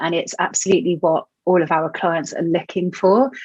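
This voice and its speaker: The sound is dry and close with no echo as a woman with a British accent speaks at medium pitch and a moderate pace. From England. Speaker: online business manager. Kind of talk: interview. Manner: hesitant, many fillers.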